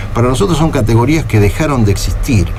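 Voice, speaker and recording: At a very fast pace, a man talks at a medium pitch. Audible room echo and noticeable background noise surround him. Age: 60s. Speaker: party leader, politician. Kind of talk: radio interview. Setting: radio studio.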